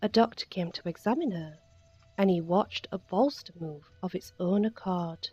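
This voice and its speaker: Soft-spoken and somewhat breathy, a woman talks at a fairly low pitch. Her pace is fairly slow. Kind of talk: bedtime story reading.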